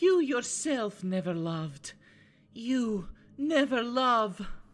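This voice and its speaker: A woman puts on a character voice at a fairly high pitch, sounding clearly female. She speaks at a very slow pace. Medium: audio drama.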